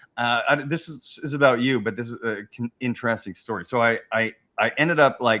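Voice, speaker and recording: A man talks at a medium pitch and fairly quick pace in an animated, bright, sharp tone. His pitch variation is ordinary, with big swings in loudness. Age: 40s. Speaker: podcast host, military veteran. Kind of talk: casual chat. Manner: animated, halting with many restarts.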